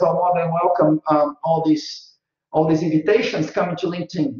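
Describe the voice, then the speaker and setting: At a moderate pace, a man speaks with a Brazilian accent. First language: Portuguese. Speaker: marketing consultant and guest lecturer. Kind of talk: guest lecture. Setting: video call. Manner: animated.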